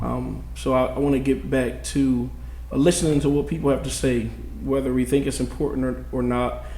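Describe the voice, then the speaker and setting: Audible room echo and noticeable background noise surround the recording. A man speaks at a moderate pace. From New Jersey. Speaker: city council candidate. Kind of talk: candidate forum opening statement. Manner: casual, many fillers.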